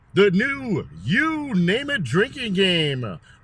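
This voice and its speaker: Using a put-on character voice, a man speaks very slowly at a high pitch with very wide pitch swings. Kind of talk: put-on announcer voice.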